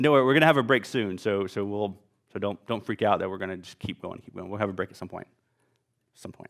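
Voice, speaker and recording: A man with a Southern US accent talks very fast at a fairly low pitch. His loudness swings widely. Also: ordinary pitch variation. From US South, Louisiana. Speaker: physician lecturer. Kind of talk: lecture. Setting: stage with audience. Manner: casual, many filler words.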